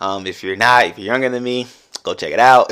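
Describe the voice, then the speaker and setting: A man with fairly even intonation. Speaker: podcast host. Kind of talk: casual monologue. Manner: conversational.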